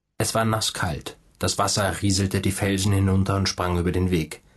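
A man talks in a somewhat breathy voice, with only a quiet background behind him. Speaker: audiobook narrator.

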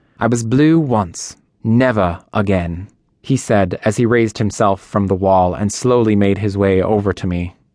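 A man with a plain, everyday voice speaks at a fairly low pitch with ordinary pitch variation against a quiet background. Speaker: audiobook narrator. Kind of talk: dramatic audiobook narration, reading aloud first-person fiction.

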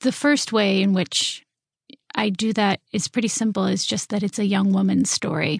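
Somewhat breathy, a woman speaks at a medium pitch and moderate pace with ordinary pitch variation. Her loudness is very even, and the sound is dry and close with no echo. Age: 30s. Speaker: novelist. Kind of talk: interview.

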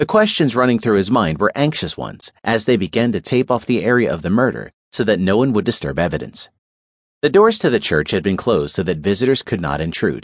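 Against a quiet background, a man speaks fairly low with vocal fry. His pitch swings very widely at a fairly quick pace. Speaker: audiobook narrator. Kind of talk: scripted audiobook narration of a crime thriller, dramatic. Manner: grave, measured, suspenseful storytelling.

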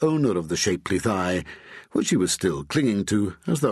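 Someone reads aloud with a natural voice. Their intonation stays lively.

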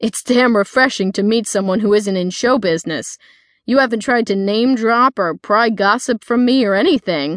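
This is plain reading aloud, with pitch varying in an ordinary way.

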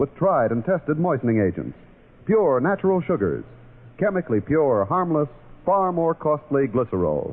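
A man speaks at a very even loudness with a fairly high pitch. His pitch swings very widely. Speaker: radio announcer reading cigarette ads. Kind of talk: scripted radio commercial read. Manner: smooth, formal, salesman-like announcer delivery.

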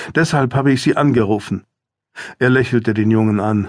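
Against a quiet background, a man talks at a moderate pace in a dramatic, gentle tone. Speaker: audiobook narrator. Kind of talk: audiobook narration, reading a thriller aloud and voicing characters in dialogue. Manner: measured, storytelling pace with dramatic expressiveness; shifts tone between characters: gentle for the mother, calm for the doctor.

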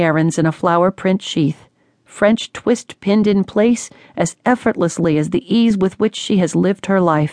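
A woman's normal speaking voice at a medium pitch, with ordinary pitch variation, a moderate pace and a dry, close sound with no echo. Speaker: audiobook narrator. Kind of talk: dramatic audiobook narration of a first-person story. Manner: grave, measured and tense, hushed with suspense.

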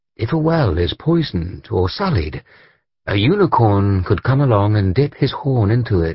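Someone reads in a natural reading voice. Little sound rises from the quiet background.

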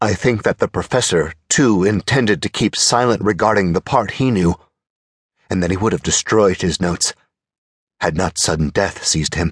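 In an ordinary speaking voice, a man talks at a fairly low pitch with ordinary pitch variation and very even loudness, the sound dry and close with no echo. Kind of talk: audiobook narration of a first-person horror story. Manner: slow, measured, formal, grave and ominous.

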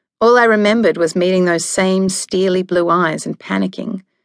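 A woman with a fairly low voice speaks fairly quickly in an angry tone and fairly even intonation. The background is quiet. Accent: Australian. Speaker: audiobook narrator. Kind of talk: scripted audiobook narration, first person. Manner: dramatic, wry and sassy, with sharp comic timing; shifts from hushed and numb to angry and flustered.

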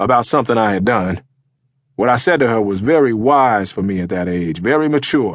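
Against a quiet background, a man at a medium pitch speaks at a moderate pace with lively intonation and a normal speaking voice. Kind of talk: audiobook memoir reading, first-person life story.

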